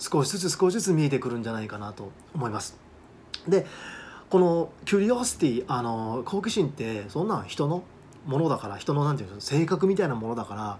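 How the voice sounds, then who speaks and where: Fairly high in pitch and somewhat breathy, a man speaks at a fairly quick pace with very wide pitch swings and big swings in loudness. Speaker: study abroad agent and English teacher. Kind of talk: monologue video talk. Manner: casual, with many fillers.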